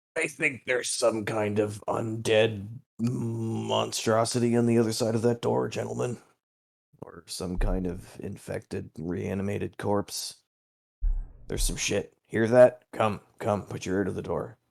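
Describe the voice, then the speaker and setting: Putting on a raspy character voice, a man speaks at a moderate pace in a fairly low pitch. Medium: actual play.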